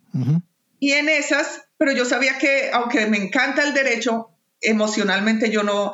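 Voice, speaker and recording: This woman's pitch is high. It rises and falls in an ordinary way. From Colombia, Bogotá. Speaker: peace worker and migrant. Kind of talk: casual chat.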